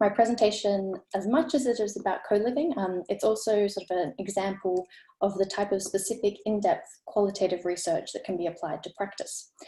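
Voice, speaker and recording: A woman with an Australian accent speaks at a fairly quick pace, her medium pitch showing ordinary variation. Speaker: architecture researcher. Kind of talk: presentation. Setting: video call. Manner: fast.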